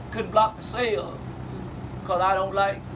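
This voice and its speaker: A man talks at a moderate pace with an American accent, noticeable noise in the background. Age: 60s. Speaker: family elder telling family history. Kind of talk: storytelling to family.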